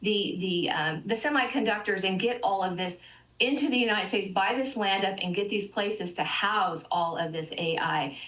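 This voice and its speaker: This woman speaks at a fairly quick pace with medium pitch and lively intonation. Room echo is audible. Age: 60s. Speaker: financial advisor. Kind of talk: TV interview.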